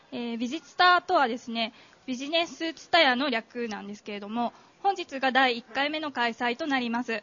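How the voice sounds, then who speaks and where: Amid noticeable background noise, a woman speaks at a high pitch and moderate pace, her pitch varying in an ordinary way while her loudness swings widely. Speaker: event MC. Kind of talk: formal event announcement. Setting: stage with audience. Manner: formal.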